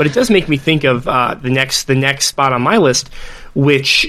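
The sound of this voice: A man uses a put-on character voice, hoarse and raspy, at a fairly high pitch. He goes at a fairly slow pace with very even loudness.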